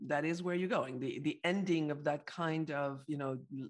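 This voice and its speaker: With a French accent, a woman speaks at a moderate pace in a very deep, low pitch. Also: very clean recording, silent background. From Paris, France. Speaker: psychologist and entrepreneur. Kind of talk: interview.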